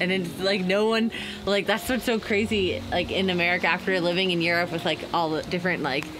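A woman with a fairly low pitch is heard over noticeable background noise. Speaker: sailing vlogger. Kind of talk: casual vlog chat. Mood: excited, emotional, smiling. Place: boat. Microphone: camera far.

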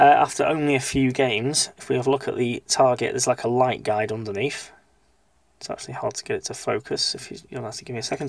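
A man at a very fast pace, in dry sound with no echo. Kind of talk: repair tutorial. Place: workshop. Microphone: phone near.

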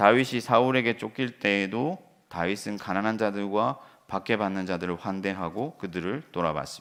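A man with a plain, everyday voice speaks at a moderate pace and a fairly low pitch in a very clean recording with a silent background. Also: ordinary pitch variation. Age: 40s. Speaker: pastor. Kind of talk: sermon.

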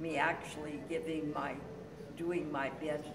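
A woman speaks at a fairly slow pace in a very deep, low voice, with noticeable background noise. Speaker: senior acting student. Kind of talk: testimony. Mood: warm and enthusiastic. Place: hall. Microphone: phone near.

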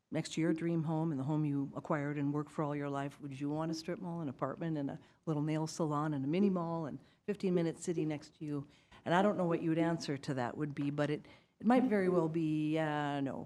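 In an Upper Midwest accent, a woman speaks very fast with a very deep, low pitch, a dark, mellow tone and ordinary pitch variation on a very clean recording with a silent background. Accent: Upper Midwest (Minnesota). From Moorhead, Minnesota. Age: 60s. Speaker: resident speaking at public comment. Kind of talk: public comment at council meeting. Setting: city council meeting.

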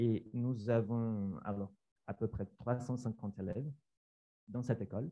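Long, frequent pauses break up the very slow delivery, and the intonation stays fairly even. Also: man, medium pitch for a man. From Brazil. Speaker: science teacher. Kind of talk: conference presentation. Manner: halting.

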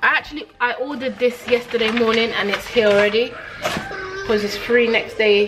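Music behind a woman's speech. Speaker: mother vlogger. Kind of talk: casual vlog chat. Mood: chatty, relaxed. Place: home room. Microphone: phone near.

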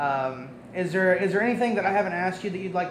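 A man's high-pitched voice over noticeable background noise. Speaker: student interviewer. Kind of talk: interview. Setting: green room of a performing arts center. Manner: hesitant, many fillers. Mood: relaxed, slightly hesitant.

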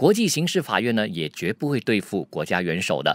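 A man with a fairly low voice speaks at a fairly quick pace, his pitch swinging very widely. The sound is dry with no echo, over a quiet background. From Malaysia. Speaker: news commentator. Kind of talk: news commentary. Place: studio. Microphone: studio mic.

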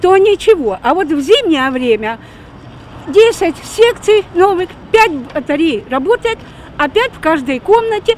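The speech moves at a fairly slow pace with very wide pitch swings. The sound is dry with no echo, over light background noise. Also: woman. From Ukraine. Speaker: local resident. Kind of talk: street interview. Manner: complaining. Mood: complaining, indignant. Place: street.

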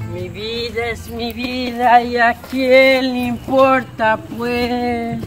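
Very slow speech with music in the background. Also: woman. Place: open country. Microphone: camera far.

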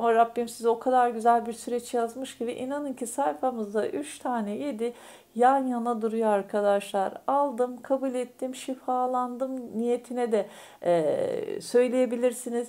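At a fairly slow pace, a woman speaks in a high, dark, mellow voice with ordinary pitch variation. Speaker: fortune teller / astrology YouTuber. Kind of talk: fortune-telling monologue to viewers. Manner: hesitant, many filler sounds. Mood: warm, reassuring, spiritual. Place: home room. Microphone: phone near.

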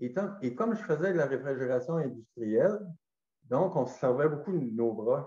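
Against a quiet background with audible room echo, the voice has a dark, mellow tone, somewhat breathy, with lively intonation at a moderate pace. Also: man, fairly high pitch for a man. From Gaspésie, Quebec; Quebec. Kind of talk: testimony. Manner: halting. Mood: calm, reflective. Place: home room. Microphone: webcam.

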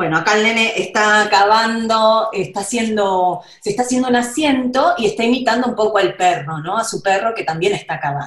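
A woman with a fairly high voice races along at a very fast pace with hardly any pauses, and audible room echo surrounds her. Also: quiet background. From Argentina. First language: Spanish. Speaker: children's book illustrator. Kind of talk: storytelling summary in Spanish for children. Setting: video call. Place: home room. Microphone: video call.

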